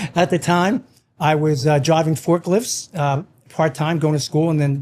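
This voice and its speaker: Fairly quick pace with ordinary pitch variation. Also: man. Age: 60s. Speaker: financial investment firm CEO. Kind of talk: casual chat. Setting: in a winery barn.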